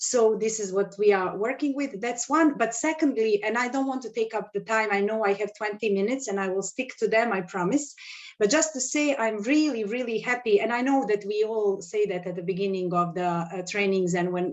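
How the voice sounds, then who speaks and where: This woman speaks fairly quickly in an unremarkable speaking voice, with hardly any pauses. Her pitch is fairly high, with ordinary pitch variation. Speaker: economist. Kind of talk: webinar presentation. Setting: video call.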